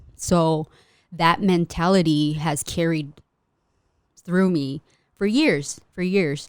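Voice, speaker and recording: At a very slow pace, a woman with a fairly low pitch and fairly even intonation speaks with long, frequent pauses. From US, Mexican immigrant household. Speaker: custom merch artist and small business owner. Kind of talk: casual interview chat.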